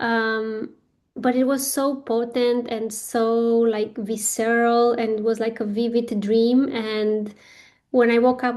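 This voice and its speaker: In a non-native accent, a woman delivers a monotone, flat intonation at a fairly high pitch with a dark, mellow tone. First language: not English. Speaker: spiritual business coach. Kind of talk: guided workshop talk. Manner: hesitant, many fillers.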